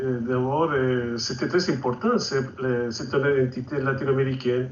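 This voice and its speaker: Fairly even intonation at a moderate pace, with audible room echo and noticeable background noise. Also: man, medium pitch for a man. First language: Spanish (speaking French). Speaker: author and activist. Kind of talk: TV interview.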